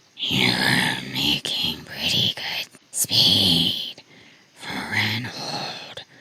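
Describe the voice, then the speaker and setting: Whispering in a put-on character voice, the speaker hisses in a raspy tone at a very slow pace. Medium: read story. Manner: taunting.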